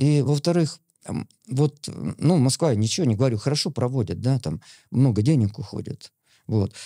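In a dark, mellow tone, a man speaks against a quiet background. The sound is dry, with no echo. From Smolensk region, Russia; Russia. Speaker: veteran distance runner and coach; podcast guest. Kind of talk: interview; interview answer. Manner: halting. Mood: calm, reminiscing. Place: studio. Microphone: studio mic.

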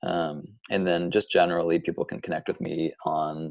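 A man's voice at a moderate pace, dry with no echo, over a quiet background. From US Midwest. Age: 30s. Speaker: author and editor; podcast guest. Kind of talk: interview conversation. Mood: relaxed, friendly. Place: home room. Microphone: video call.

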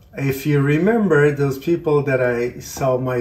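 The man's voice comes across somewhat breathy. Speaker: cooking channel host. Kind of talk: casual vlog chat. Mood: warm, cheerful. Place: kitchen. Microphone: camera far.

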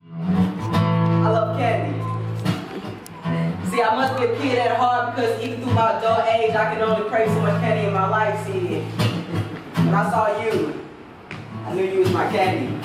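Fairly slow speech amid loud background noise and audible room echo. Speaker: spoken word poet. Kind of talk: freestyle spoken word poetry at open mic. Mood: romantic, rhythmic, expressive. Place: home room. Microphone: camera far.

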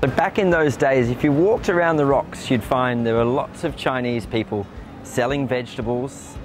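With an Australian accent, a man speaks at a moderate pace and a medium pitch. The sound is dry with no echo, and music plays in the background. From Brisbane, Australia. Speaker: bilingual tour guide and MC. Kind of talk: tour guide talk to camera. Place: street. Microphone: lapel.

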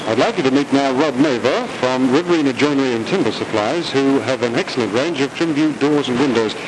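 Over noticeable background noise, a man with an Australian accent talks at a fairly quick pace with hardly any pauses, his fairly high voice upbeat in tone and lively in intonation. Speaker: commercial presenter. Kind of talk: vintage TV commercial, polished salesman patter. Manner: smooth, upbeat, hard-sell.

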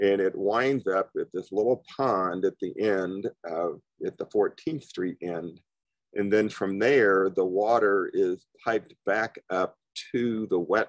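Against a quiet background, a man speaks at a very slow pace and fairly low pitch with ordinary pitch variation, the sound dry with no echo. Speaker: presenter. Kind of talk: lecture. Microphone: video call.

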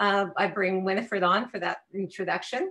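There is a quiet background behind this woman's voice. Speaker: webinar host. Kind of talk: meeting host welcome remarks. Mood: warm, welcoming. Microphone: video call.

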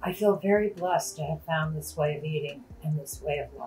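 Over music in the background, a woman speaks at a moderate pace in a very deep, low pitch. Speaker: diabetes channel host. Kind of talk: reading a viewer's testimony aloud.

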